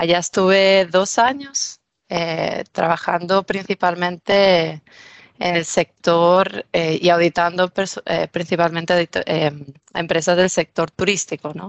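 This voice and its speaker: A woman's fairly low voice with a Spanish accent, very slow in pace, with fairly even intonation. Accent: Spanish from Spain. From Spain, Mallorca. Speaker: business manager. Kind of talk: interview.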